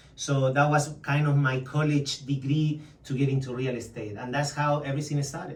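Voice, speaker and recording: With monotone, flat intonation, a man talks at a moderate pace in a fairly high pitch, with audible room echo around him. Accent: Spanish. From Chile. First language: Spanish. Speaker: real estate agent. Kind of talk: interview.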